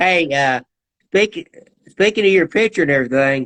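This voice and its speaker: A man talks at a fairly quick pace, and the sound stays dry and close without any echo. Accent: Southern. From US South, Georgia. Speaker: talk show host. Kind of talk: casual interview chat. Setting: live-streamed online interview.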